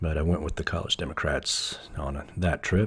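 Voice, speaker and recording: A man's very deep, low voice, somewhat breathy, in an American accent, moderate pace and ordinary pitch variation. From US South, East Tennessee. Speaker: podcast host and musician. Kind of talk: solo podcast monologue. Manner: casual, halting with fillers.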